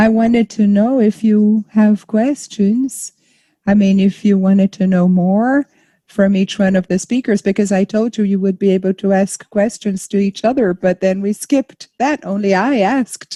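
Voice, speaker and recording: A woman with a dark, mellow, somewhat breathy tone speaks at a moderate pace and medium pitch, with fairly even intonation and very even loudness, the sound dry and close with no echo against a quiet background. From Brazil. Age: 60s. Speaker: panel moderator, arts manager. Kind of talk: panel discussion. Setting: live stream.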